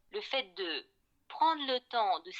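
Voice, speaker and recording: Speaking at a very slow pace, a woman's voice makes very wide pitch swings in a dry, close sound with no echo. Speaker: voice coach. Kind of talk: interview answer.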